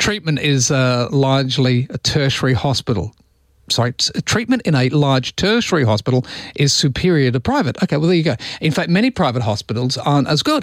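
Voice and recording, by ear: Speaking at a fairly quick pace, a man with a medium pitch uses lively intonation.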